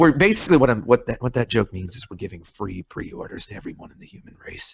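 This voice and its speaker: A somewhat breathy man with a slight Southern US accent, very wide pitch swings and big swings in loudness. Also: medium pitch for a man. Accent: slight Southern drawl. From moved around, army family. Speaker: game developer. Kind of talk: casual chat. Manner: rambling, hesitant.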